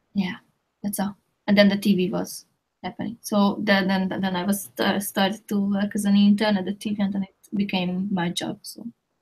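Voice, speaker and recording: A woman speaks at medium pitch and a moderate pace, somewhat breathy and in a flat monotone. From Hungary. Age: 30s. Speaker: motion graphics designer. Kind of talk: interview.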